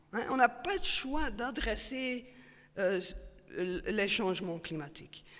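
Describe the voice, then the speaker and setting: Amid audible room echo, a woman speaks at a very slow pace in a fairly high pitch with very wide pitch swings. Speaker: paleoclimatologist, professor. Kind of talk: Q&A after a talk. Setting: stage with audience. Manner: halting, many fillers and repetitions.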